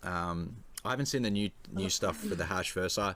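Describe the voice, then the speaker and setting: Very deep, low speech from a man with an Australian accent, fairly quick, with ordinary pitch variation. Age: 20s. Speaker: NFT community figure. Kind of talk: casual chat. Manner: hesitant, many fillers.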